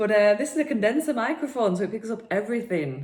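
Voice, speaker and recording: This is a woman speaking. She has a northern English accent. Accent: broad northern English. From northern England, Preston. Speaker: personal trainer and podcast host. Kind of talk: casual podcast monologue.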